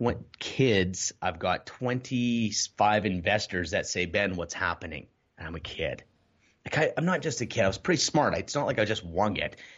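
A man speaks at a moderate pace with lively intonation and fairly low pitch, in a plain, everyday voice. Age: 30s. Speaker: entrepreneur and real estate coach. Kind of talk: casual interview chat.

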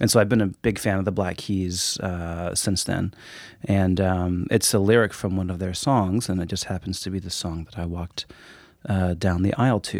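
Speaking with a Pacific Northwest accent, a man has a very deep, low pitch. His pace is moderate. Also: fairly even intonation, very clean recording, silent background. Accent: American (Pacific Northwest). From Woodinville, Washington. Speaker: yoga teacher. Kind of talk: casual chat.

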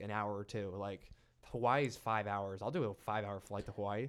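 This is a man with an ordinary speaking voice. He talks at a moderate pace. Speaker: guest, party host and fan. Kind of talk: casual chat. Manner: casual, laid-back.

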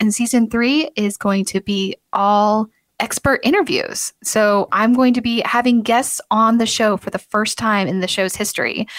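A woman with a fairly high pitch sounds upbeat and enthusiastic, speaking at a fairly slow pace with hardly any pauses and ordinary pitch variation, the sound dry and close without echo. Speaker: podcast host. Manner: upbeat, enthusiastic.

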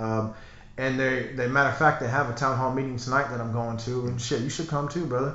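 A man with an American accent at medium pitch and a very fast pace, with noticeable background noise and audible room echo. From Texas. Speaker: gym owner and fitness trainer. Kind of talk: casual chat. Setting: studio.

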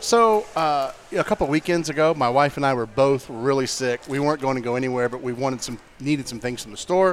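Speaking at a fairly quick pace with hardly any pauses, a man uses a plain, everyday voice. His pitch is fairly high for a man, with ordinary pitch variation. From St. Augustine, Florida. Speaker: media business owner. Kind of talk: casual chat. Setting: restaurant bar recording.

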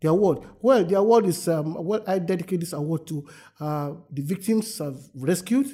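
Lively in his intonation, a man speaks at a moderate pace and a high pitch, with a dark, mellow tone. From Nigeria, Lagos State. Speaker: anti-trafficking activist. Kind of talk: interview. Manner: halting.

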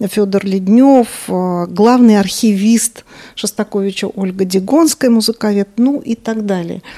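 A woman speaks at a medium pitch and a fairly slow pace. Her tone is dark and mellow, and her intonation stays fairly even. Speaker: radio culture columnist. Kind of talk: interview.

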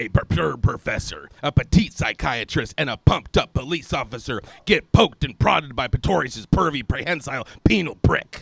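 Putting on a raspy character voice with a dramatic tone, a man speaks at a medium pitch and a fairly quick pace with hardly any pauses. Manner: gravelly, dramatic, announcer-like.

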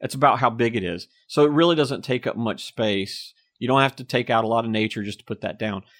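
Against a quiet background, a man with an American accent speaks at a fairly quick pace, with a medium pitch and ordinary pitch variation. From Apex, North Carolina. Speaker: town mayor. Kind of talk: casual interview. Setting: studio.

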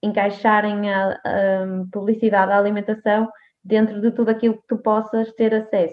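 A woman at medium pitch talks at a moderate pace in a monotone, flat intonation. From Portugal, Póvoa de Varzim. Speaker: nutritionist. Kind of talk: interview. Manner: halting, many fillers.

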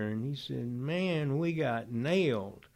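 A man with a Georgia accent, fairly high in pitch, with lively intonation. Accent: Southern American (Georgia). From US South (Oxford, Georgia). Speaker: Vietnam war veteran. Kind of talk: testimony.

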